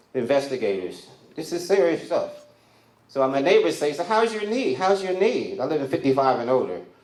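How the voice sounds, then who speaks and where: There is audible room echo around this voice. A man speaks at a moderate pace with a fairly high pitch. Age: 60s. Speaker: comedian. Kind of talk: stand-up. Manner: animated.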